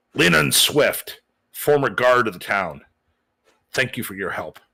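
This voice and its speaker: Doing a gruff put-on character voice, a man speaks slowly at a medium pitch, with very wide pitch swings and big shifts in loudness. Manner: stern, brisk.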